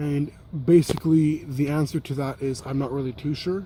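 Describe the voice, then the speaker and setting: Soft-spoken and somewhat breathy, a man talks at a fairly high pitch in a dark, mellow tone with fairly even intonation. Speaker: YouTuber, cycling vlogger. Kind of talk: casual vlog. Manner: soft-spoken, keeping voice down.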